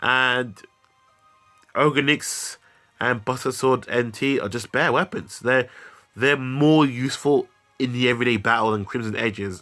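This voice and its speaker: Over background music, a man speaks at a moderate pace and a medium pitch, with fairly even intonation and long, frequent pauses. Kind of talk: game review talk. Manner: casual, hesitant.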